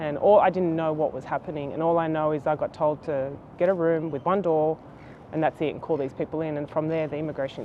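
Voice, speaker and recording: Her pitch very deep and low, a woman talks at a fairly quick pace in a flat monotone. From Sydney, Australia, Serbian-speaking home. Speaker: HR executive. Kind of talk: interview. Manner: hesitant, many fillers.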